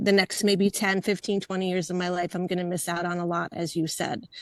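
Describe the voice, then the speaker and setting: An unremarkable speaking voice from a woman, medium in pitch, at a moderate pace with fairly even intonation, dry and close with no echo. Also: quiet background. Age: 60s. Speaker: webinar participant. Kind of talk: casual chat.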